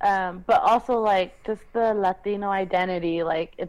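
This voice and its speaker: Speaking in an American accent, a woman uses a normal speaking voice of medium pitch with ordinary pitch variation, on a very clean recording with a silent background. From California, Los Angeles. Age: 20s. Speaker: podcast co-host. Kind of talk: casual chat.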